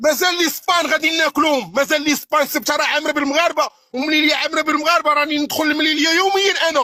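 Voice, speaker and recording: A man's raised, projected voice at an extremely high pitch and very fast pace, with hardly any pauses, fairly even intonation and very even loudness. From Morocco, Tetouan. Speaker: caller. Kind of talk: heated debate.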